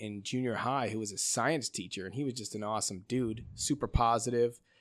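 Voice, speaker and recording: In a normal speaking voice, a man with an American accent talks at a fairly quick pace and medium pitch, recorded very cleanly against a silent background. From US Midwest, Chicago suburbs. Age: 40s. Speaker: watch company founder. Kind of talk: casual chat.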